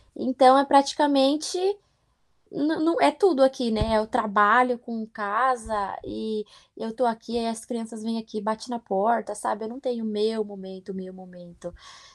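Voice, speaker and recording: Speaking at a fairly slow pace, a woman with a fairly high-pitched voice uses ordinary pitch variation while her loudness swings widely. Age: 20s. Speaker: au pair. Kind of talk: interview. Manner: animated.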